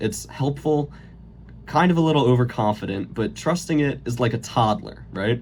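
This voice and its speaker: Here a man talks at a medium pitch and a moderate pace. His voice is somewhat breathy, with ordinary pitch variation. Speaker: college student. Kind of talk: late-night comedy monologue parody. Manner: stuttering, voice cracks.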